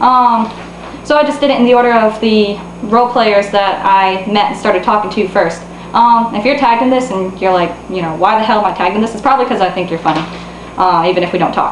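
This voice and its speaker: Speaking at a very fast pace with a medium pitch and ordinary pitch variation, a woman is heard over noticeable background noise and audible room echo. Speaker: online role-player / vlogger. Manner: halting, many ums and pauses.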